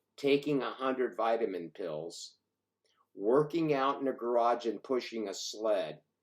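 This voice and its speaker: With lively intonation and an animated tone, a man speaks at a medium pitch. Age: 60s. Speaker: fitness vlogger, older lifter. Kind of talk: casual monologue vlog. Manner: halting, many fillers; animated, emphatic.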